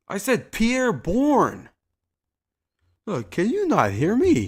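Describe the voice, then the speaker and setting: The recording is very clean, and the background is silent. A man's pitch swings very widely as he talks. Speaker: gaming streamer. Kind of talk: casual chat. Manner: loud.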